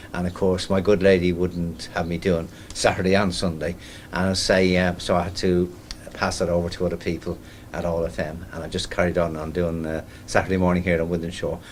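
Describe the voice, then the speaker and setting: A man's very deep, low voice, monotone and flat, at a fairly quick pace amid audible room echo. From Ireland. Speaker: community radio presenter. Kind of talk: interview. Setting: launch event at town hall; radio station. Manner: hesitant, many fillers.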